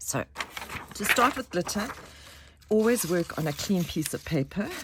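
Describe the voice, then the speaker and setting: A woman with a medium-pitched voice speaks at a moderate pace with lively intonation over noticeable background noise. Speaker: craft tutorial maker. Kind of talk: tutorial. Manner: halting.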